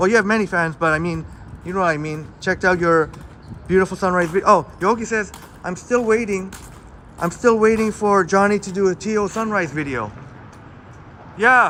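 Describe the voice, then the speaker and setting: In a raised, projected voice, the speaker moves at a moderate pace with ordinary pitch variation and long, frequent pauses. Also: man, high pitch for a man. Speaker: live streamer. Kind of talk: casual live stream chat. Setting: outdoors. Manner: loud.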